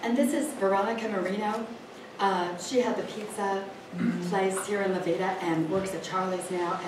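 A woman talks at a moderate pace in a medium pitch with ordinary pitch variation. Noticeable background noise and audible room echo are present. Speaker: library event organizer. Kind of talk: event introduction. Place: hall. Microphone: camera far.

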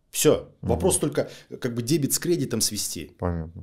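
With vocal fry and a dark, mellow tone, a man talks at a moderate pace on a very clean recording with a silent background. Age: 40s. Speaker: lawyer. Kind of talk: interview.

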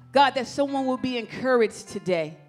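A woman speaks at a high pitch. Faint music plays in the background. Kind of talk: prayer. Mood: fervent, reverent. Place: church. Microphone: handheld.

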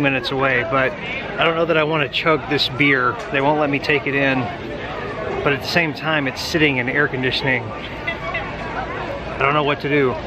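Noticeable background noise surrounds a man speaking at a moderate pace, the sound dry with no echo. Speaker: vlogger. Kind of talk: casual vlog chat. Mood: wry, self-mocking humor. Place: street. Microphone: phone near.

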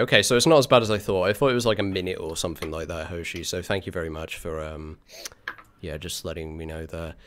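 A man with a British accent, talking at a fairly quick pace. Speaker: streamer, hosting a game stream. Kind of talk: casual stream chat. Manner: casual, chatty.

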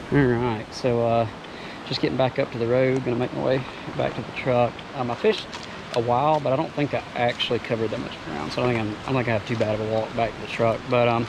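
Over clear background noise, a man speaks fast at a medium pitch with vocal fry and fairly even intonation.

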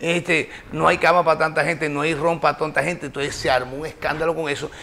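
Very fast and in a monotone, flat intonation, a man gets his words out. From Barranquilla, Colombia. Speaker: radio broadcaster, sports journalist and actor. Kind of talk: interview answer, casual storytelling. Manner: warm, cheerful, charismatic. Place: studio. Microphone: lapel.

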